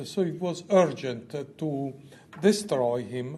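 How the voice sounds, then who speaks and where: With noticeable background noise and audible room echo, a man speaks at a very slow pace in a fairly high voice with ordinary pitch variation. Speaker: oncologist. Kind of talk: conference lecture.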